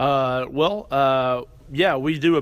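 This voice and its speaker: Fairly high in pitch, a man with an American accent speaks with fairly even intonation. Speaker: university student affairs administrator. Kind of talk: interview.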